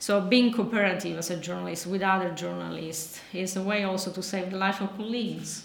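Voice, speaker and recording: A medium-pitched woman with an Italian accent, fairly quick with hardly any pauses, fairly even in intonation, amid noticeable background noise and audible room echo. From Sicily, Italy. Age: 40s. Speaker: journalist. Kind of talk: lecture. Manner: halting.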